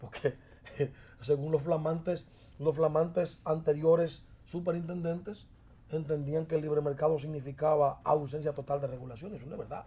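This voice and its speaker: A somewhat breathy man with a Dominican accent speaks at a fairly quick pace, his pitch fairly high, his tone dark and mellow, and his intonation fairly even. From southern Dominican Republic. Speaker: congressman. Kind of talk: interview.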